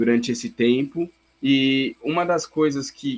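A man speaks at a fairly slow pace and a fairly high pitch, with fairly even intonation. It is a normal speaking voice. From Brazil. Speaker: missionary. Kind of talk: interview.

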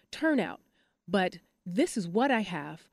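A woman with an American accent speaks at a fairly slow pace in a medium pitch. She has a plain, everyday voice. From Michigan, US Midwest (Detroit). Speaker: dance company artistic director. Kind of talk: interview.

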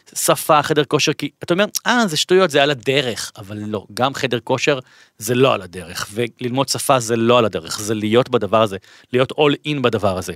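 In a very clean recording with a silent background, a man talks at a moderate pace and medium pitch with lively intonation, the sound dry and close with no echo. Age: 40s. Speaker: author and lecturer. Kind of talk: interview. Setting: studio. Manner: halting.

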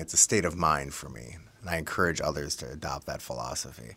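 Bright and sharp in tone, the voice carries vocal fry and ordinary pitch variation at a moderate pace. The recording is very clean, with a silent background. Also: man. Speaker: wine shop partner. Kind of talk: casual interview chat about wine. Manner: animated, enthusiastic.

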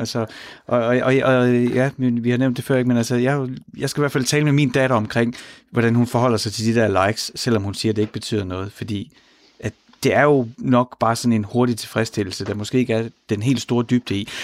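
An unremarkable speaking voice from a man, medium in pitch, with ordinary pitch variation, a moderate pace, and a very clean recording over a silent background. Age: 40s. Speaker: radio host. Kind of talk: radio talk show. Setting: studio.

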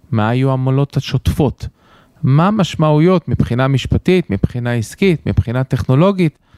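On a very clean recording with a silent background, a man speaks at a moderate pace and medium pitch with very wide pitch swings. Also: dry, close sound with no echo. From United States. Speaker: central bank executive. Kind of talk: interview.

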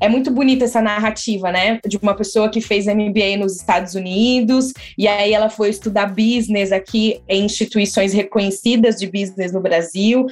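A woman has a normal speaking voice at a medium pitch with fairly even intonation. She keeps a moderate pace with hardly any pauses. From São Paulo state interior, São José dos Campos. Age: 20s. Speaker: co-founder of a recruitment consultancy, public relations professional. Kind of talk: podcast interview.

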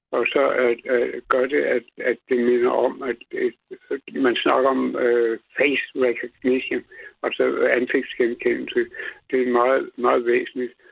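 At a very slow pace, a man talks with very even loudness. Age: 70s. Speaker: radio caller. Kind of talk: phone-in chat. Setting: phone call.

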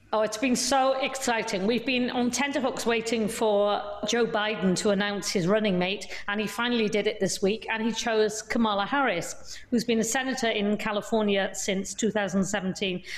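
With noticeable background noise behind her, a woman speaks at a fairly high pitch with hardly any pauses. Her intonation is fairly even and her loudness very even. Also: moderate pace. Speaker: entertainment journalist covering New York. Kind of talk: panel discussion.

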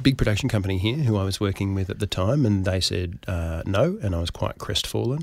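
Someone speaks with an Australian accent in a very clean recording with a silent background. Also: man. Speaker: actor and comedy writer. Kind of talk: interview conversation.

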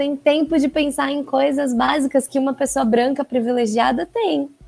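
Music plays in the background as a woman speaks at a fairly slow pace. Her pitch variation is ordinary. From Brazil, São Paulo. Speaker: actress. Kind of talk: interview.

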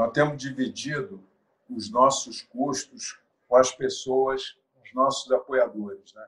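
Speaking very slowly at a medium pitch, a man uses ordinary pitch variation while his loudness swings widely. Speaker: football club presidential candidate. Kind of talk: interview.

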